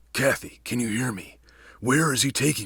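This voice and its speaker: A put-on character voice with big swings in loudness and ordinary pitch variation. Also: man. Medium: read story.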